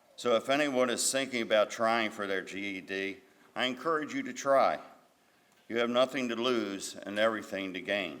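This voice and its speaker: At a moderate pace, a man speaks in a normal speaking voice with a medium pitch. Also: ordinary pitch variation. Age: 60s. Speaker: GED graduate. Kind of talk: graduation speech.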